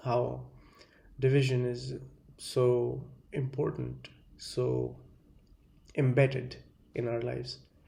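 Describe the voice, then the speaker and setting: A man with an Indian accent speaks with long, frequent pauses, and the room echo is audible. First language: Hindi. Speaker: video essayist. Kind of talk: monologue lecture. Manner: halting, many fillers.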